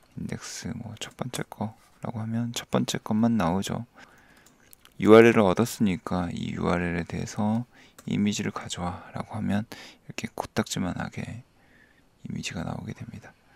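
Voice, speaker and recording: There are long, frequent pauses and big swings in loudness as a man speaks at a fairly low pitch and a moderate pace with ordinary pitch variation. The sound is dry and close, with no echo. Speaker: coding tutorial youtuber. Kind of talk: tutorial. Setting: screen recording at home, child sleeping nearby. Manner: sleepy, low-key; soft-spoken.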